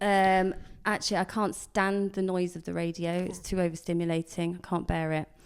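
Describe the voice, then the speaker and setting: On a very clean recording with a silent background, a woman speaks at a moderate pace in a fairly low pitch with monotone, flat intonation. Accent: southern English. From southern England, Swindon. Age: 40s. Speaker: comedian. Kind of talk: casual chat. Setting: podcast.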